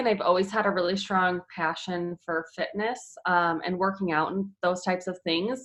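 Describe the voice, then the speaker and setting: A woman with a Chicago accent speaks at a medium pitch and a fairly slow pace. Her intonation stays fairly even. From US Midwest, Chicago area. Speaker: fitness trainer and mother. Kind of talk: casual interview. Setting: at home, closed room. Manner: many filler ums.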